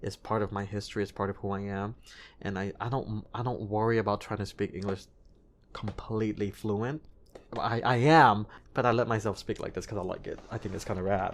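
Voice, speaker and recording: A man with a slight non-native accent, fairly low in pitch and fairly quick in pace, in a very clean recording with a silent background. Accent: slight non-native hint in his English. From US, child of Cambodian and Thai refugees. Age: 30s. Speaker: singer and TV host. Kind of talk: podcast interview. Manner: animated.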